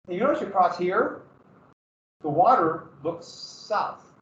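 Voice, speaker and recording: A high-pitched man with an American accent and very wide pitch swings, in audible room echo. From Montana, US. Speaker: history teacher. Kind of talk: lecture. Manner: casual, halting.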